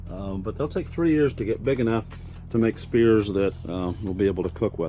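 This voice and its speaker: A man with an Indiana accent, relaxed in tone, at a fairly quick pace over noticeable background noise. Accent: rural Indiana (Hoosier). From Indiana, US Midwest. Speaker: farmer. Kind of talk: casual video tour. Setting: high tunnel greenhouse on a farm. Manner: relaxed, many fillers (uh, um).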